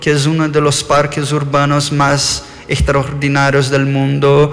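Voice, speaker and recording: A man speaks very slowly with an Argentine accent. The room echo is audible and background noise is noticeable. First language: Portuguese (speaking Spanish). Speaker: architect. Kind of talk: lecture. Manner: halting.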